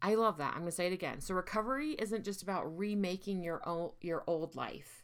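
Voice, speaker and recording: A woman with a fairly low pitch speaks in an ordinary speaking voice at a moderate pace, with ordinary pitch variation. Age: 40s. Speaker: podcast host and mental health therapist. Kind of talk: solo monologue podcast.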